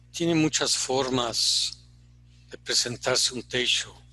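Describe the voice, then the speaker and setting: Speaking very slowly, a man uses a medium pitch, fairly even intonation and a bright, sharp tone. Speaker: Zen teacher. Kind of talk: dharma talk. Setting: online retreat. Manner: reflective, halting.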